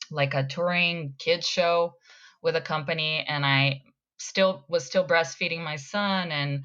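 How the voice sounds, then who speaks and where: A woman with a slight Brazilian accent speaks at a fairly slow pace with fairly even intonation. Her tone is bright and sharp against a quiet background. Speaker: actor. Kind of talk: casual chat.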